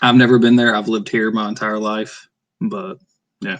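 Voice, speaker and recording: Fairly low in pitch, a man talks at a moderate pace. His intonation is fairly even. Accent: Appalachian. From northeast Arkansas. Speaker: author. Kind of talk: casual livestream chat. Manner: casual, hesitant with fillers.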